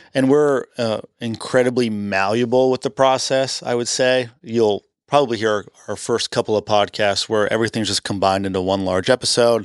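In a dry, close recording with no echo and a quiet background, a man speaks at a moderate pace with a medium pitch and fairly even intonation. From Canada. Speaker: podcast co-host. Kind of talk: casual chat.

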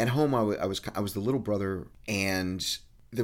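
A man speaks fairly quickly in a fairly low pitch. It is an ordinary speaking voice with ordinary pitch variation. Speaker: podcast co-host. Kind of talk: casual chat.

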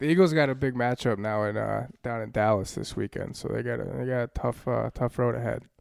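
The speech is mumbled at a fairly quick pace. There are hardly any pauses. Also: man. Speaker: podcast co-host. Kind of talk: casual chat. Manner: mumbles.

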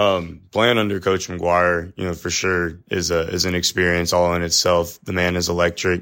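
On a very clean recording with a silent background, a man with an American accent speaks in a very deep, low pitch with monotone, flat intonation. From Texas (Cedar Hill, Dallas area). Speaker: college football assistant coach. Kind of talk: podcast interview. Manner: loud.

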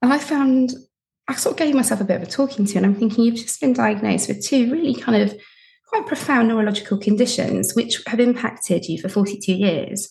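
A woman speaks in a normal speaking voice at a fairly high pitch. She moves at a fairly quick pace with ordinary pitch variation. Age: 40s. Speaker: podcast host and widowed mother of four, guest. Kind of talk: recorded sign-off message; casual interview chat. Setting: recording from her bedroom; remote recording with headphones.

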